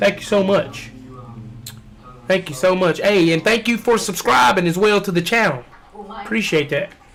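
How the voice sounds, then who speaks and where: A loud man speaks at a moderate pace in a high voice, his tone animated and his intonation lively. Noticeable background noise sits behind him. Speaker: fitness trainer and streamer. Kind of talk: casual livestream chat.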